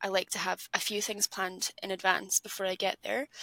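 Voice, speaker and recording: A woman with an Edinburgh accent speaks at a medium pitch in a monotone, flat intonation, her bright, sharp tone sounding dry and close with no echo. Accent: Scottish (Edinburgh). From Scotland, Edinburgh. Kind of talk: casual chat.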